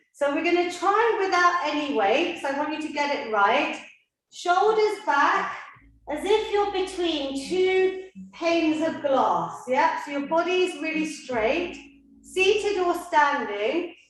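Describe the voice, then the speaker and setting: A woman speaks very slowly at an extremely high pitch, with lively intonation. Room echo is audible. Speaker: fitness instructor. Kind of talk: workout class instruction. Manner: animated.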